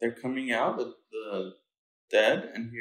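The speaker reads in an unforced reading voice, and the background is quiet.

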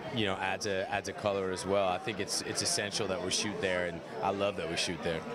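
A man at a fairly quick pace against loud background noise. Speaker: actor interviewee. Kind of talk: interview answer. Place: hall. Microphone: handheld.

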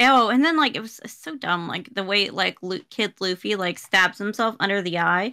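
A woman speaks at medium pitch in a bright, sharp tone with lively intonation. Her pace is moderate, there are hardly any pauses, and the background is quiet. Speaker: podcast co-host. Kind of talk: casual chat. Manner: mumbles; halting. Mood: mocking, amused. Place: home room.

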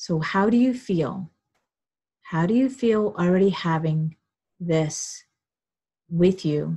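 Speaking at a very slow pace with long, frequent pauses, a woman uses a fairly low, somewhat breathy voice with ordinary pitch variation and a soothing tone. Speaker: webinar host and relationship coach. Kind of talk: guided visualization, calm coaching. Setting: video call. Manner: soothing, slow, instructive; casual, chatty.

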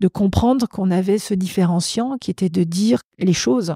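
This woman's voice is somewhat breathy, with a dark, mellow tone and a medium pitch that varies in an ordinary way. She talks at a moderate pace on a very clean recording with a silent background. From France, Savoie. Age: 50s. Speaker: business executive. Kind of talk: interview.

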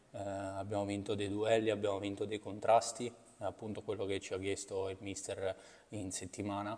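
Flat and monotone, a man speaks at a moderate pace with a fairly low pitch. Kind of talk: interview answer. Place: hall. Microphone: podium.

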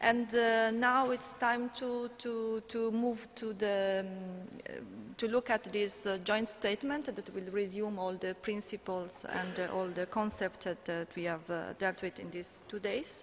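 With an Italian accent, a woman speaks fairly slowly at a fairly high pitch with ordinary pitch variation, with light background noise present. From Italy. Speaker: conference moderator and EU policy officer; conference moderator. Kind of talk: conference moderation. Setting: conference stage with audience. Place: hall. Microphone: podium.

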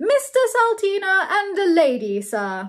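A woman does a put-on character voice at an extremely high pitch, with big pitch swings and a fairly slow pace.

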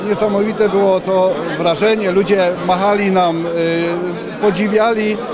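A man talks fairly slowly, and noticeable noise runs behind his voice. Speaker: municipal police officer. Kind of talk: interview. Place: hall. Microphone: handheld.

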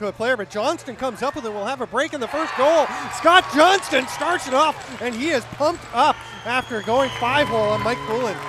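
A man speaks in a raised, projected voice at an extremely high pitch with ordinary pitch variation. His pace is fairly quick, and there is noticeable background noise. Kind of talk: live sports commentary. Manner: fast, excitable play-by-play delivery.

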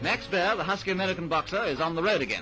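Clear music plays behind a man speaking at a very fast pace. His pitch is high. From England. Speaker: newsreel commentator. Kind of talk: sports newsreel commentary. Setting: vintage film soundtrack. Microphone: old recording.

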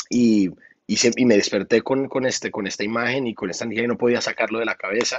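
Very fast speech comes from a man with fairly even intonation. The background is quiet and the sound is dry with no echo. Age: 30s. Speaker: singer and music producer; guest. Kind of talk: interview. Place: studio. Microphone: video call.

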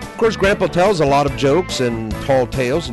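Music plays in the background while a man speaks with lively intonation. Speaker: puppeteer and entertainer. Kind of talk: promotional presentation.

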